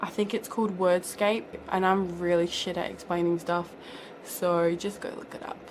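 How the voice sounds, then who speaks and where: Noticeable background noise sits behind a woman speaking at a fairly slow pace. Her intonation is monotone and flat. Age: 20s. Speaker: beauty vlogger. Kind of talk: casual Q&A vlog. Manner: chatty.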